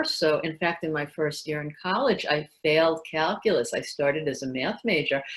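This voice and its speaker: A woman's very deep, low voice with a New York accent, ordinary pitch variation and a moderate pace. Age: 60s. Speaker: former journalist and salesperson. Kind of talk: interview.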